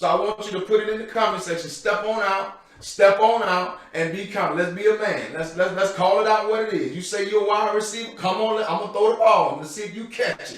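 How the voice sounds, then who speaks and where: A man with a high pitch speaks at a fairly quick pace with hardly any pauses, fairly even intonation and big swings in loudness. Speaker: guest speaker for mentoring program. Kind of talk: motivational talk. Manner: loud, pumped up.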